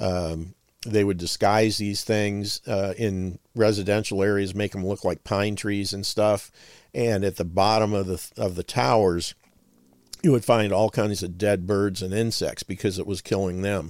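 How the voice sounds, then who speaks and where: A man with an American accent has an ordinary speaking voice, fairly low in pitch. He talks at a fairly slow pace with fairly even intonation. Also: very clean recording, silent background. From northern Ohio, US. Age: 60s. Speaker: health supplement and nutrition advocate, veteran. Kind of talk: radio interview.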